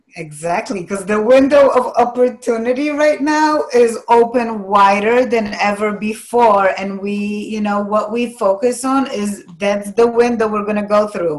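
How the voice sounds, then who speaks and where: A woman with a Polish accent speaks at a fairly high pitch and a fairly slow pace, with ordinary pitch variation. She leaves hardly any pauses. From Poland. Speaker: life coach. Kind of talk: interview.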